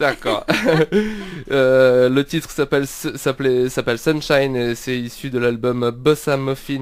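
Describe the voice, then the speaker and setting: Through noticeable background noise, a man talks at a fairly slow pace and medium pitch with monotone, flat intonation. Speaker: radio host. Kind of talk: radio interview. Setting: radio studio. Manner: hesitant, many fillers.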